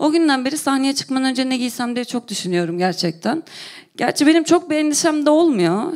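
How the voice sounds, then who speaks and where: A woman talks at a fairly quick pace in a high voice, her pitch swinging very widely. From Turkey, Konya. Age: 30s. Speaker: comedian. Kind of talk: stand-up. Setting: stage with audience.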